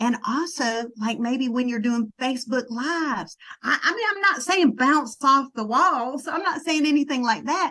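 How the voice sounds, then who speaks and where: In a Southern US accent, a woman with a high pitch projects a raised voice at a moderate pace, with hardly any pauses. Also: lively intonation. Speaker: network marketing trainer. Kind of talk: sales team training talk. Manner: casual, conversational.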